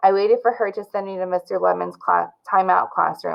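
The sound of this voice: Here is an unforced reading voice. The delivery stays an unforced reading voice.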